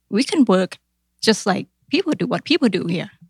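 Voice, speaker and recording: Speaking at a moderate pace in a Thai accent, a woman uses lively intonation and vocal fry, captured in a dry, close sound with no echo. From Thailand. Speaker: accountant. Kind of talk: interview.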